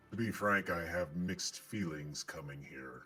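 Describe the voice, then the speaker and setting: A man uses a put-on character voice with a very deep, low pitch while faint music plays in the background. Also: moderate pace. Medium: actual play. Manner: polite, hesitant.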